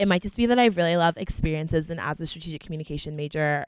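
A woman speaks very fast in an American accent, her pitch fairly low with ordinary variation. The recording is very clean with a silent background and a dry, close sound with no echo. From Florida (Fort Myers). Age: 20s. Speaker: college student. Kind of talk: casual chat.

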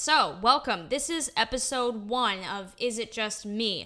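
With an American accent, a woman speaks in an upbeat tone at a fairly slow pace, her fairly high voice showing ordinary pitch variation. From Utah, US. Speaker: podcast host, actor and singer. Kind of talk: solo podcast monologue. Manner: casual, upbeat with frequent laughs.

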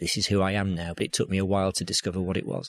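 A man with a Yorkshire accent speaks in a very deep, low voice. The recording is very clean with a silent background. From Yorkshire, northern England. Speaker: business storytelling coach. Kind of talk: interview. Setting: bookshop.

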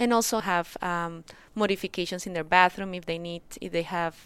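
A woman with a fairly low voice. The recording is very clean, with total silence behind her. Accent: Spanish. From Colombia. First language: Spanish. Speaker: rheumatologist. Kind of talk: interview.

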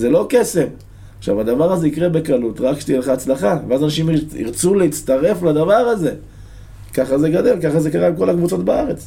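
At a moderate pace, a man with a fairly high pitch makes very wide pitch swings while keeping his loudness very even. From Israel, a moshav near Netanya. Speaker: football supporter, stand chant leader. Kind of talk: casual interview. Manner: animated.

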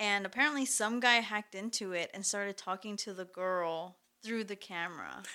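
On a very clean recording with a silent background, a woman with a Spanish accent speaks at a moderate pace in a medium pitch, with ordinary pitch variation and a bright, sharp tone. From Mexico. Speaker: podcast guest. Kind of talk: casual chat.

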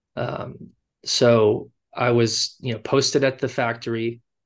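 The speaker has a Californian accent. The background is quiet. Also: man. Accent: Californian American. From Los Angeles, US. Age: 30s. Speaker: fashion brand founder. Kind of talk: interview. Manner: halting, many fillers.

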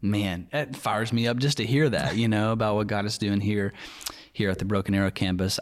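With a Southern US accent, a man speaks fairly quickly in a fairly low voice. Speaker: podcast host and church staff member. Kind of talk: casual chat. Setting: studio.

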